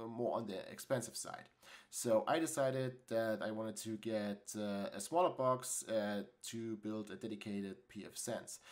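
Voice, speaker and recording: Big swings in loudness mark this man's speech in a German accent. His pitch is medium with ordinary variation, at a moderate pace. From Germany. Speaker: tech YouTuber. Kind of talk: tutorial. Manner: halting, many fillers.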